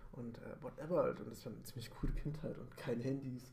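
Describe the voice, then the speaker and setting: Over noticeable background noise and audible room echo, a man speaks. His medium-pitched voice moves at a very fast pace. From Bavaria, Munich. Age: 30s. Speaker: podcast co-host. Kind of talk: casual chat. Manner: halting.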